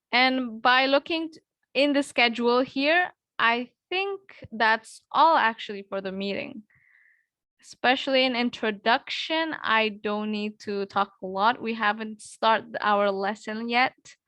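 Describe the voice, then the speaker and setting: In an Indonesian accent, a woman speaks at a fairly slow pace with a fairly high pitch, a bright, sharp tone, ordinary pitch variation and big swings in loudness, in a dry, close sound with no echo against a quiet background. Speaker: English tutor. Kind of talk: online class. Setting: video call.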